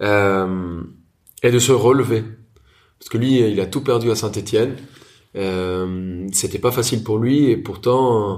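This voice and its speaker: A man with a Spanish accent speaks at a very slow pace with a fairly low pitch and ordinary pitch variation. His loudness swings widely, and audible room echo surrounds him. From Colombia, Bogota. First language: Spanish (speaking French). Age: 30s. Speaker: chef and restaurateur. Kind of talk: interview.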